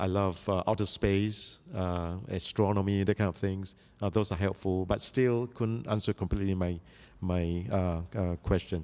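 Over a very clean recording with a silent background, a man with a very deep, low pitch and a dark, mellow tone speaks at a moderate pace with fairly even intonation. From Malaysia, Chinese diaspora. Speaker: biblical scholar. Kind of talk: interview. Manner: halting, frequent uh fillers.

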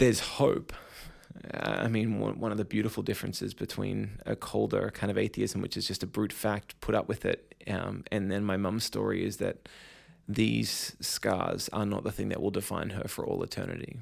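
A man speaks with an Australian accent at a moderate pace. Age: 30s. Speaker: pastor and speaker. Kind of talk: interview.

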